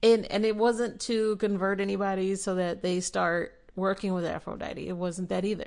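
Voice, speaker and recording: At a moderate pace, a woman speaks in a monotone, flat intonation with hardly any pauses. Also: medium pitch for a woman. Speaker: podcast host; spiritual practitioner. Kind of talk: spiritual podcast talk.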